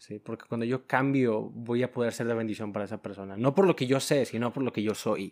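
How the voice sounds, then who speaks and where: At a fairly quick pace, a man with an ordinary speaking voice talks at a medium pitch with ordinary pitch variation in a very clean recording with a silent background. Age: 20s. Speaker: logistics worker. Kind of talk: testimony.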